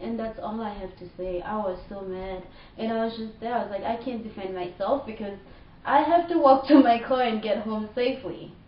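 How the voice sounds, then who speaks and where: Through audible room echo and noticeable background noise, a woman with a Haitian accent speaks at a moderate pace and fairly high pitch. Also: ordinary pitch variation, big swings in loudness. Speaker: vlogger. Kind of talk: personal rant. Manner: animated.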